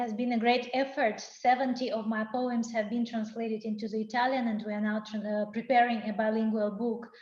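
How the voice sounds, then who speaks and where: A woman's fairly high voice at a fairly quick pace, in a monotone, flat intonation. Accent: Russian. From Russia. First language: Russian. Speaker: poet. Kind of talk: casual chat. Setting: video call.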